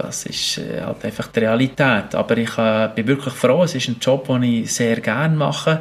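Amid noticeable background noise, a man speaks at a moderate pace and medium pitch with ordinary pitch variation. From Switzerland, Bern region and mountains. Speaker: biologist and adventurer. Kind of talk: interview.

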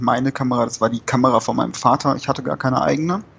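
A man speaks at a medium pitch with fairly even intonation. He has a normal speaking voice. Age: 20s. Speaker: hobby concert photographer. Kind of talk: casual interview.

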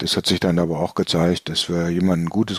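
Fairly quick speech in a dry, close sound with no echo. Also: man. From northern Germany, Bremen. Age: 60s. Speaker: flying club chairman, former air traffic controller. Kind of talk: casual interview. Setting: remote from home.

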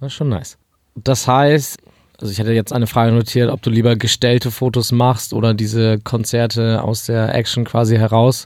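At a moderate pace, a man talks in a normal speaking voice with a medium pitch. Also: very clean recording, silent background. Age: 20s. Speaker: podcast host. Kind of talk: interview. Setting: studio.

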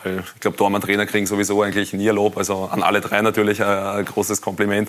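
Over noticeable background noise, a man with a fairly low pitch talks at a very fast pace in a monotone, flat intonation. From Austria, Wiener Neustadt district. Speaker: professional goalkeeper. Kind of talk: TV studio talk interview. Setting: TV studio.

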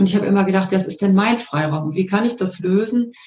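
With a dark, mellow tone and a somewhat breathy, medium-pitched voice, a woman talks at a fairly quick pace. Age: 50s. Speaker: coach. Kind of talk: interview. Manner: calm.

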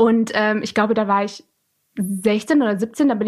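Against a quiet background, a woman with a normal speaking voice talks fairly slowly at a fairly high pitch. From Lower Saxony, Germany (Alfeld near Hildesheim). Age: 20s. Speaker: student and volunteer interpreter for refugees. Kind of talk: interview. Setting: home office recording.

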